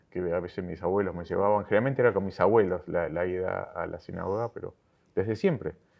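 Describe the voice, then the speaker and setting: Fairly low in pitch, this man talks at a very fast pace with fairly even intonation. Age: 60s. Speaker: synagogue lay leader. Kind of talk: interview. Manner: halting, many fillers and repetitions.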